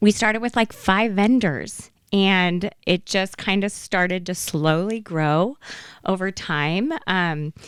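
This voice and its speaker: A woman with an American accent speaks at a very slow pace in a medium pitch with ordinary pitch variation, on a very clean recording with a silent background. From Idaho, Magic Valley. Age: 50s. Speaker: flea market founder. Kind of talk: casual interview.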